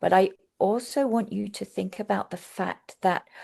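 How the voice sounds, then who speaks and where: A woman with a London accent against a quiet background. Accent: southern English (London). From England, London. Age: 60s. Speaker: Montessori teacher trainer. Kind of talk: webinar lecture.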